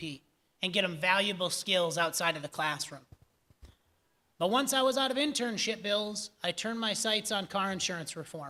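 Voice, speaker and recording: A man's raised, projected voice with an American accent, high pitch, a bright, sharp tone and a moderate pace. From Upper Peninsula of Michigan (Iron Mountain). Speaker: political candidate, former state representative. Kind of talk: candidate forum answer. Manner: confident, punchy.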